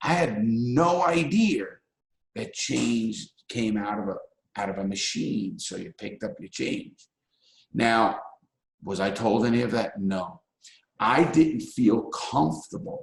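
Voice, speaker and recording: A man with a New York accent talks at a very slow pace, with long, frequent pauses and big swings in loudness. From New York City (Bronx and Brooklyn). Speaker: ex-convict and public speaker. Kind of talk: talk to a live audience.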